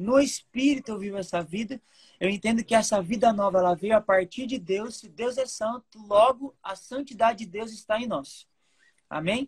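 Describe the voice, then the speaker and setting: A woman with a fairly high pitch speaks at a moderate pace, somewhat breathy, with ordinary pitch variation and big swings in loudness, in a dry, close sound with no echo. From Brazil, Mato Grosso do Sul (Campo Grande). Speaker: lay preacher. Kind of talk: sermon. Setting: video call.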